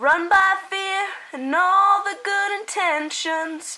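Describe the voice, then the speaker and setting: Extremely high in pitch, a woman's raised, projected voice carries a bright, sharp tone with ordinary pitch variation. She speaks at a very slow pace. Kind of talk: dramatic story reading.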